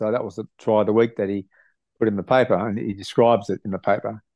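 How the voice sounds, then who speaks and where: A man with an Australian accent speaks at a fairly low pitch with fairly even intonation. The sound is dry with no echo, over a quiet background. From Australia, Sydney (south-west). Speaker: retired rugby league player; guest. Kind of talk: interview. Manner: halting, many fillers. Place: home room. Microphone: video call.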